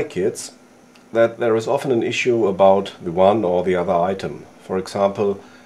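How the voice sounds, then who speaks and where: A man's dark, mellow tone comes through at a moderate tempo. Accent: non-native. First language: not English. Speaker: outdoor gear YouTuber. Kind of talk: tutorial. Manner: halting.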